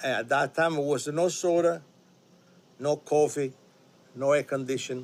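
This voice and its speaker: With a strong non-native accent, a man talks at a fairly slow pace. His pitch sits at a medium level. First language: not English. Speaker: restaurant owner. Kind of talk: casual conversation.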